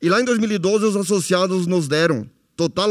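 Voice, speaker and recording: Here a man is speaking. His pace is fairly slow. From Nova Palma, Rio Grande do Sul, Brazil. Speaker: former cooperative president. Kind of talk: testimony.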